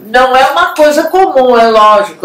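A woman talks at a fairly slow pace with audible room echo. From Brazil. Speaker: show co-host. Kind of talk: TV talk show, frank opinion. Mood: lively, humorous. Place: home room.

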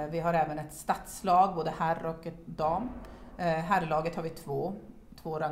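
An unremarkable speaking voice moves at a moderate pace with fairly even intonation. Light background noise is present. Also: woman. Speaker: padel club chair; interviewee. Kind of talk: casual interview. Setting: locker room. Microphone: camera far.

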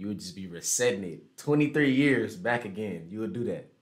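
With lively intonation and an American accent, a man talks at a moderate pace over a quiet background. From Houston, Texas. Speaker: online video chat streamer. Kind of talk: casual chat. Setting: video call. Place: home room.

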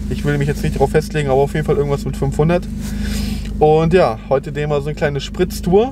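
A man speaks in a dry sound with no echo, with noticeable background noise behind him. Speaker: car vlogger. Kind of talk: casual vlog chat. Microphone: phone near.

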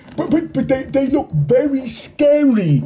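A shaky, high-pitched put-on character voice. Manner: trembling, fearful.

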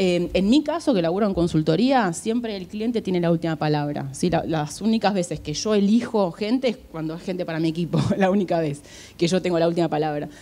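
A woman's fairly low, dark, mellow voice with an Argentine accent, a fairly quick pace, hardly any pauses and ordinary pitch variation. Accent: Rioplatense Argentine Spanish. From Argentina. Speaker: HR recruiter. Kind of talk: conference talk. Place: hall. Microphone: handheld.

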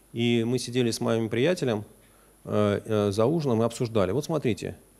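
The man talks at a moderate pace. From Russia. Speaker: economist, former deputy finance minister; guest lecturer. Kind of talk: lecture. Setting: university lecture hall with audience. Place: classroom.

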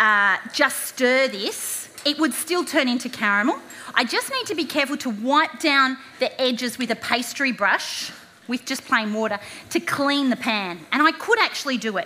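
A woman's raised, projected voice with lively intonation at a moderate pace. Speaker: presenter. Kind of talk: tutorial. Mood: warm and humorous. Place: stage.

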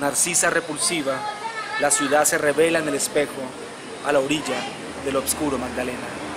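Noticeable background noise behind a man talking at a moderate pace in a fairly high register. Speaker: poet. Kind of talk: poetry reading.

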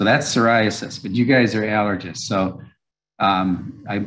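The speaker is a man with a fairly low pitch. He goes at a fairly slow pace. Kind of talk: lecture. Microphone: webcam.

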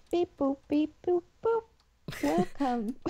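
This is a put-on character voice pitched high. It swings very widely in pitch. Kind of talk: mechanical. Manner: robotic, beeping.

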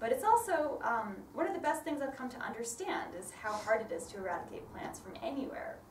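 A woman with a northern American accent, high-pitched, at a fairly quick pace with hardly any pauses, very wide pitch swings and big swings in loudness, plus light background noise and audible room echo. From northern US. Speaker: botanist and ecologist; speaker. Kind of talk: lay sermon talk. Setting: church. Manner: fast talker. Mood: warm, smiling.

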